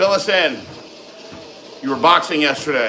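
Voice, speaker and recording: Loud and animated, a man talks at a high pitch with lively intonation over noticeable background noise and audible room echo. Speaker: fitness livestream host. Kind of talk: live stream Q and A chat.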